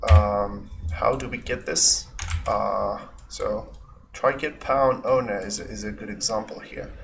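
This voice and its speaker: Very slow speech with a non-native accent. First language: not English. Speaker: game developer. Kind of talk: tutorial. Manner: hesitant, many fillers.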